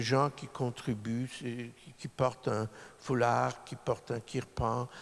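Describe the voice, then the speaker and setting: This is a man's voice at medium pitch. His pitch varies an ordinary amount. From Poland, then Montreal from age 9. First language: Polish (speaking French). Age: 60s. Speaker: lawyer. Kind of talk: public talk. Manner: halting.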